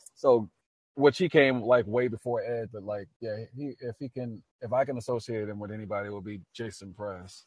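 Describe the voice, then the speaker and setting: In an American accent, a man with an unremarkable speaking voice talks at a moderate pace and medium pitch, with ordinary pitch variation and big swings in loudness. The sound is dry and close, with no echo. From US South, New Orleans, Louisiana. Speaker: singer-songwriter and army veteran. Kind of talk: casual interview.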